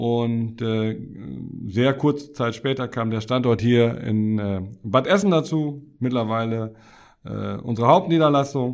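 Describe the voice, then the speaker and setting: Talking at a fairly slow pace, a man keeps a medium pitch with ordinary pitch variation. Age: 50s. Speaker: tax advisor, firm partner. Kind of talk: interview. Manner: hesitant, many filler sounds.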